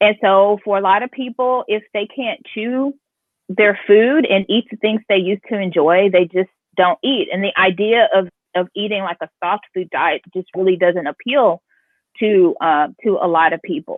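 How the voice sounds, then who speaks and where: An ordinary speaking voice from a woman with an American accent, medium in pitch, at a moderate pace with ordinary pitch variation. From Houston, Texas. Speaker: chef. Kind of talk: interview conversation.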